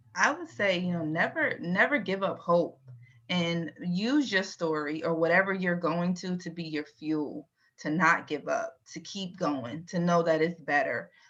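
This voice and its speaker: In a normal speaking voice with an American accent, a woman speaks at a fairly slow pace with fairly low pitch and ordinary pitch variation. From Virginia, US. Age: 40s. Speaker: IT transformation leader. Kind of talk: interview.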